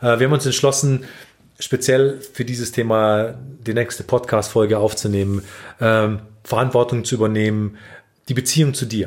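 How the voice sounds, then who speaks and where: A man's voice at a medium pitch. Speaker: relationship podcast host. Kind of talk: casual chat. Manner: halting.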